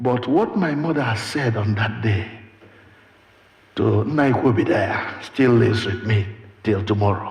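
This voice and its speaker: Speaking at a fairly slow pace with lively intonation, a man with a Nigerian accent is heard through audible room echo and noticeable background noise. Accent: Nigerian Igbo English. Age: 70s. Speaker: preacher. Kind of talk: sermon.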